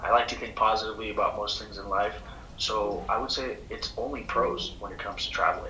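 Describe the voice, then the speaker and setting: Room echo is audible and background noise noticeable as a man speaks at a moderate speed. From Colombia. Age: 20s. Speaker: world traveler. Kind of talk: interview. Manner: halting, many fillers.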